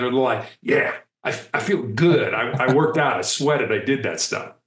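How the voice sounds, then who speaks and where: Audible room echo around a man with an American accent, at a moderate pace. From US Midwest, Chicago. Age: 60s. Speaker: speaker and author, former hostage negotiator. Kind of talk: interview conversation.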